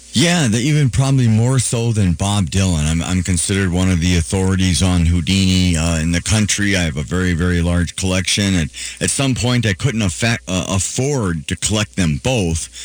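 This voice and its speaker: A man with an Upper Midwest accent, a very deep, low pitch, lively intonation, very even loudness and hardly any pauses. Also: moderate pace. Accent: Upper Midwest (Minnesota). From Duluth, Minnesota. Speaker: radio DJ and magician. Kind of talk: casual interview.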